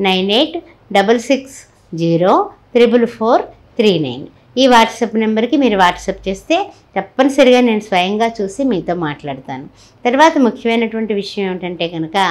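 This woman's voice sits fairly high and moves through very wide pitch swings. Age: 60s. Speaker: astrologer. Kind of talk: sales pitch; religious talk. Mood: warm, devotional. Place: home room.

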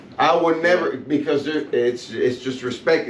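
In audible room echo with light background noise, a man is speaking. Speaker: podcast guest. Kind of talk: casual chat. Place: studio.

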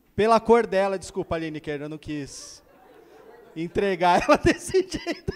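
Playful in tone, the speaker moves at a fairly slow pace with very wide pitch swings and big swings in loudness. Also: man, high pitch for a man. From Brazil. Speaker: stand-up comedian. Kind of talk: stand-up comedy. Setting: stage with audience. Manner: playful, self-mocking storyteller acting out dialogues. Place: stage. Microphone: handheld.

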